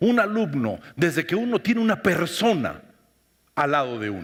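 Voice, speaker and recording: This man talks fairly slowly. The recording is very clean, its background silent. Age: 60s. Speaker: expressiveness workshop speaker. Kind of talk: talk to audience.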